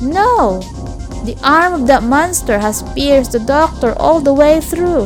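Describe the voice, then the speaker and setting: Music plays in the background as a woman with a non-native accent speaks. Her pace is fairly slow and her intonation lively. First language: not English. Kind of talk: audiobook-style story reading.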